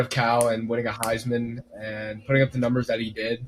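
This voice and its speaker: A man with a medium pitch talks while noticeable background noise persists. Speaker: sports podcast co-host. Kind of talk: casual sports chat.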